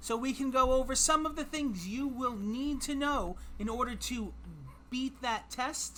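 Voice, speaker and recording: A woman's high, raised and projected voice, fairly slow, with lively intonation. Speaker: trivia streamer. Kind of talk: live stream trivia game. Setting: live stream with chat. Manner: casual, self-deprecating and animated.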